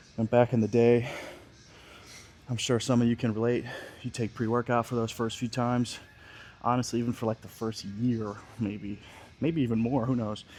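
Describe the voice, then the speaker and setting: In an American accent, a man talks at a moderate pace with monotone, flat intonation and long, frequent pauses. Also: medium pitch for a man. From Scranton, Pennsylvania, US. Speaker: bodybuilder vlogger. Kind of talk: gym vlog talking to camera. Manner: casual, swearing, loose.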